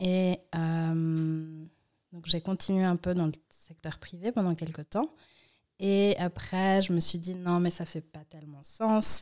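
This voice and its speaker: On a very clean recording with a silent background, the speaker goes at a very slow pace with fairly even intonation and big swings in loudness. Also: woman, fairly low pitch for a woman. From Switzerland, Valais (Martigny), then Lausanne. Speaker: activist and entrepreneur. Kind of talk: interview conversation.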